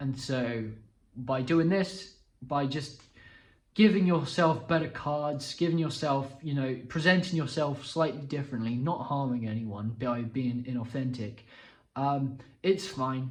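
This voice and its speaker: A man's somewhat breathy, fairly high voice with ordinary pitch variation, a fairly slow pace and audible room echo. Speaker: self-improvement youtuber. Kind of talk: casual explainer monologue. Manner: halting, many restarts and fillers.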